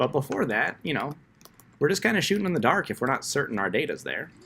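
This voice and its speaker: A man with a fairly high, bright, sharp voice and vocal fry swings his pitch very widely in a very clean recording with a silent background. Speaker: coding instructor. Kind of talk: tutorial. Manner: fast.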